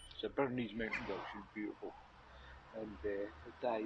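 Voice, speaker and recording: Moderate-paced speech in a Scottish accent. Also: man. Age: 60s. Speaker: passer-by. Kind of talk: casual chat.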